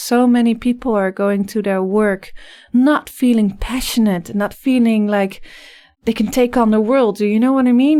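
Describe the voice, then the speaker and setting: In a slight Dutch accent, a woman speaks with a dark, mellow tone on a very clean recording with a silent background. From Netherlands. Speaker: life coach. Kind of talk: podcast interview.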